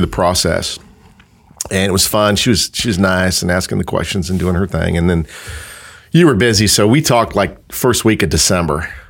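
The speaker has an American accent and ordinary pitch variation. Long, frequent pauses break up the speech. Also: man. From California, South Bay. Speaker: wedding venue and winery owner. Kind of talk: casual interview chat. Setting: studio. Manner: halting, repetitive.

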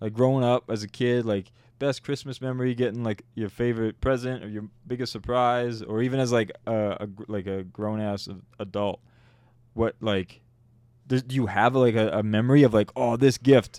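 A man with a Canadian accent has a normal speaking voice at medium pitch. His intonation is fairly even. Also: moderate pace. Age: 30s. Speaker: podcast co-host. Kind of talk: casual chat.

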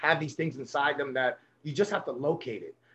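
A man speaks in a New York accent. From Brooklyn, New York. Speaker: baseball coach. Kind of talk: interview.

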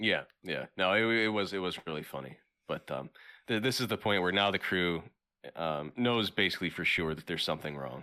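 On a very clean recording with a silent background, a man speaks at a fairly quick pace in a very deep, low voice with a bright, sharp tone and lively intonation. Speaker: podcast co-host. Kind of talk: casual chat. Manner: halting.

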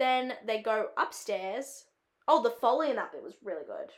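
A woman with an Australian accent talks at a fairly slow pace in an animated tone with ordinary pitch variation. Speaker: film student and podcast host. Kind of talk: casual solo podcast chat. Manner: chatty, filler-heavy, animated.

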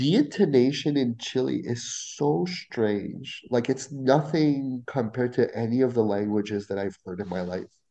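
A man with a dark, mellow tone and medium pitch speaks at a moderate pace with lively intonation and hardly any pauses. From Ontario, Canada (Franco-Ontarian, near Ottawa). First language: French. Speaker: Spanish teacher and graduate student. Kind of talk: casual interview.

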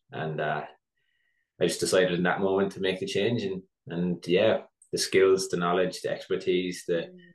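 A man with an Irish accent talking at a moderate pace. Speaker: barber, business owner and educator. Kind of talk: casual interview.

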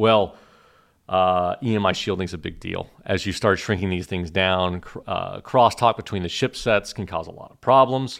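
A man with an American accent talks in an ordinary speaking voice with ordinary pitch variation and big swings in loudness. The recording is very clean, with a silent background. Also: fairly low pitch for a man, moderate pace. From Oklahoma. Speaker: startup founder and CEO. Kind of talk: podcast interview.

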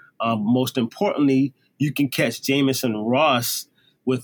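This is a normal speaking voice at a fairly slow pace with ordinary pitch variation. The sound is dry and close, with no echo. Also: man. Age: 30s. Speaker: singer and drummer. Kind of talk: casual chat.

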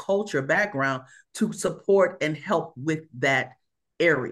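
A woman speaks at a fairly slow pace in a plain, everyday voice. Her pitch is fairly low with ordinary variation, over a quiet background. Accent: American. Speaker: aerospace engineering leader and consultant. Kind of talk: interview conversation.

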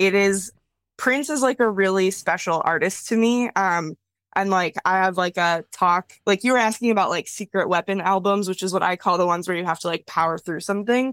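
With an American accent, a woman speaks at a moderate pace in an unremarkable speaking voice of medium pitch with ordinary pitch variation, the sound dry and close with no echo. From US Midwest, Wisconsin. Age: 30s. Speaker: cartoonist and art educator. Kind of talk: casual chat. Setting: video call.

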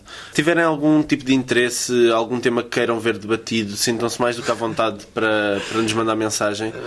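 A man at medium pitch talks at a fairly quick pace with hardly any pauses, fairly even intonation and very even loudness. Noticeable background noise runs behind him. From Portugal. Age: 20s. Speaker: student podcast host. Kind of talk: casual chat.

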